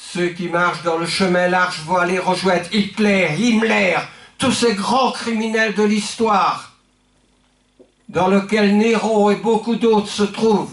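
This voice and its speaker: Speaking at a very slow pace, a man uses a high-pitched voice. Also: fairly even intonation. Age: 70s. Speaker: pastor. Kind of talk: sermon. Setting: church.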